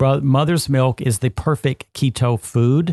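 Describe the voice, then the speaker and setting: A man with a plain, everyday voice and a fairly high pitch talks at a moderate pace, with a dry, close sound with no echo and a quiet background. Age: 60s. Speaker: health and nutrition podcast host. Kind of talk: podcast conversation.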